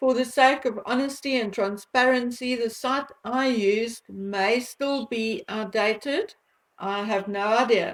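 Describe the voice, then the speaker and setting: A woman with a South African accent talks at a fairly slow pace. Her pitch is fairly high, and her intonation is fairly even. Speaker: commentary vlogger. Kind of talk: monologue commentary vlog.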